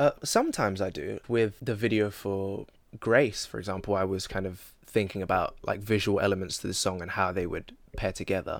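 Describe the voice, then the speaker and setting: With a London accent, a man with a fairly low pitch speaks at a fairly quick pace and fairly even intonation in a very clean recording with a silent background. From East London. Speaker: musician. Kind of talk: casual interview chat. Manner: relaxed, joking.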